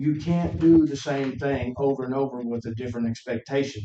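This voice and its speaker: Medium pitch from a man, moderate pace, ordinary pitch variation. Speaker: member of the public, military veteran. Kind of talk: public comment at county meeting. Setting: county commission meeting in courthouse. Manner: loud.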